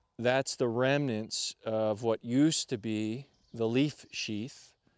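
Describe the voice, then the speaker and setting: Against a quiet background, a man speaks at a very slow pace with fairly even intonation in a dry sound with no echo. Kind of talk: interview explanation. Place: forest. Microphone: lapel.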